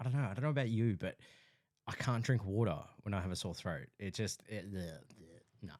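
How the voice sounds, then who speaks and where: A man speaks quickly, at a fairly quick pace, with an Australian accent. His pitch is fairly low and his intonation lively. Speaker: podcast co-host. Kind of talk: casual chat.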